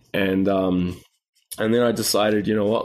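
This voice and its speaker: Against a quiet background, a man with a New Zealand accent talks at a moderate pace, his fairly low pitch held in a monotone, flat intonation. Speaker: health coach. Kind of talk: interview conversation.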